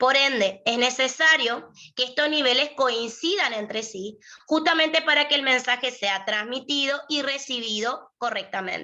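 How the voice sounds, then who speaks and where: A woman's high-pitched voice, bright and sharp in tone, at a fairly slow pace. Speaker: lawyer and university prep tutor. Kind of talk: lecture.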